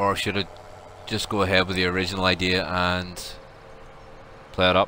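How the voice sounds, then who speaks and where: A man's very deep, low voice in a Belfast accent, fast-ish and monotone and flat, over noticeable background noise. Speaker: gaming livestreamer. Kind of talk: casual livestream chat. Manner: relaxed, many fillers (um).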